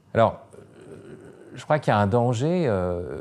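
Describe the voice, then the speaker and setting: With lively intonation, a man takes a fairly slow pace. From France. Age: 50s. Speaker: philosopher and writer. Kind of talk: interview. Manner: hesitant, many fillers.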